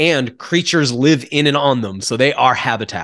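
With an unremarkable speaking voice, a man talks at a fairly high pitch, a moderate pace and ordinary pitch variation. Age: 40s. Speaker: wild foods and herbal products expert. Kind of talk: casual interview.

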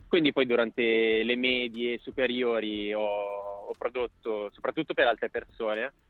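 The speaker talks at a fairly slow pace with hardly any pauses and fairly even intonation. Noticeable background noise sits behind the voice. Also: man, medium pitch for a man. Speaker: singer. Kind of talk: radio interview. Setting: phone call. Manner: halting.

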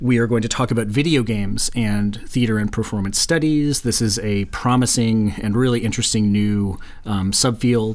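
This is an unremarkable speaking voice. The pace is moderate. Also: man. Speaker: podcast host and university professor. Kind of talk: casual academic chat.

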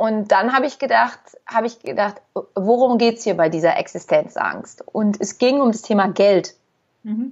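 A woman talks at a moderate pace in a plain, everyday voice. Her pitch is fairly high, with ordinary variation. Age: 40s. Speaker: therapist. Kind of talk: casual chat.

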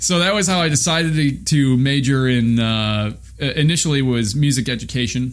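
A man with an American accent talks at a moderate pace and medium pitch, with ordinary pitch variation and hardly any pauses. Noticeable background noise and audible room echo come through on the recording. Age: 30s. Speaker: trumpeter. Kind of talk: interview. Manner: halting.

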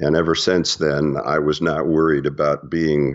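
This man's very deep, low voice stays monotone and flat as he talks at a moderate pace. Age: 70s. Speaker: author. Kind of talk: interview.

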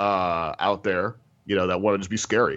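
A man with an American accent has a normal speaking voice, fairly low in pitch, with fairly even intonation. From US Midwest, Missouri. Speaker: comic book writer. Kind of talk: interview.

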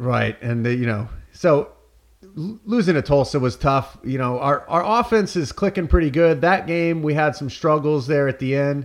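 Fairly high in pitch, a man speaks at a moderate pace with lively intonation in an unremarkable speaking voice. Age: 30s. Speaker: sports podcast host. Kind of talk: casual chat.

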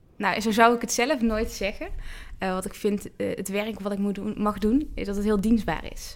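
A woman at a fairly high pitch, moderate pace and fairly even intonation. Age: 30s. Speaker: church youth work coordinator. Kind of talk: interview. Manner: hesitant, many fillers.

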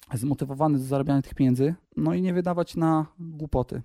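This man's fairly high voice has a dark, mellow tone and ordinary pitch variation, moving at a moderate pace with a dry, close sound and no echo. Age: 30s. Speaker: salesman and small business owner. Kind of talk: interview.

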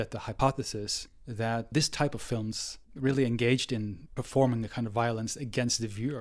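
At a moderate pace and medium pitch, a man speaks with fairly even intonation and a Norwegian accent. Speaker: film studies professor. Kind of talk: interview. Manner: halting.

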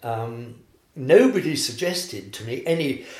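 His voice is somewhat breathy. The man's pitch is medium, and its variation is ordinary. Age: 80s. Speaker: former architect, cancer patient. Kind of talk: casual interview. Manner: animated, upbeat.

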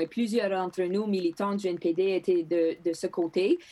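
This woman has a Greek accent and a medium pitch. Her tone is dark and mellow. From northern Manitoba, Canada (Thompson). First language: Greek (speaking French). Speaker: politician. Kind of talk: interview. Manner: halting with repetitions.

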